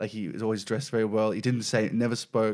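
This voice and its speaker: A man with an Australian accent talks very fast. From Melbourne, Australia (Mill Park / Whittlesea). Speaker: stand-up comedian. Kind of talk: casual chat.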